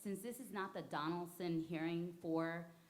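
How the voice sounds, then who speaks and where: A woman speaks at a fairly slow pace with a fairly low pitch, over noticeable background noise and audible room echo. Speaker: community member making public comment. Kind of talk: public comment at meeting. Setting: board meeting, microphone. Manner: loud.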